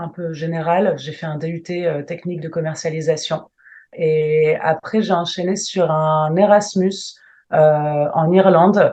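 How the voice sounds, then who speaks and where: Against a quiet background, a woman with fairly low pitch and a dark, mellow tone speaks at a very slow pace, her loudness swinging widely. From northern France, Lille. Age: 30s. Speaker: travel planner, entrepreneur. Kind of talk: interview.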